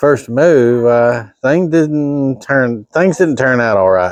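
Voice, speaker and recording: A man speaks in a plain, everyday voice at a medium pitch, with ordinary pitch variation. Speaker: home mechanic. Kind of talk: casual talk to camera.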